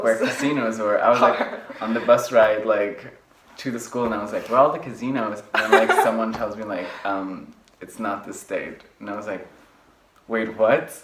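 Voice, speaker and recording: A man talks at a moderate pace with medium pitch and flat, monotone intonation. His loudness swings widely, and background noise is noticeable. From Luxembourg. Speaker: university student. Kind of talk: interview answer. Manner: casual, filler-heavy.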